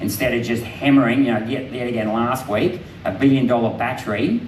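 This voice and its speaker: Noticeable background noise and audible room echo surround this recording. A man speaks at medium pitch and a fairly quick pace. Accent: Australian. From Queensland, Australia. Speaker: politician. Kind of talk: public talk with Q&A.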